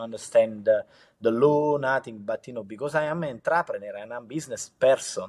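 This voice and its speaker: A man with a strong Italian accent, medium pitch and ordinary pitch variation, at a fairly quick pace on a very clean recording with a silent background. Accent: heavy Italian accent in English. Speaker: entrepreneur. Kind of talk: interview. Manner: halting, many fillers.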